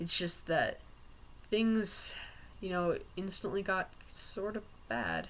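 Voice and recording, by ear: Slow delivery with big pitch swings and a fairly bright tone. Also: man, high pitch for a man.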